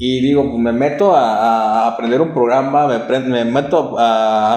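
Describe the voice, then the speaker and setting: A man talks with fairly even intonation, and there is audible room echo along with noticeable background noise. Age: 20s. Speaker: film producer. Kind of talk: interview. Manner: halting.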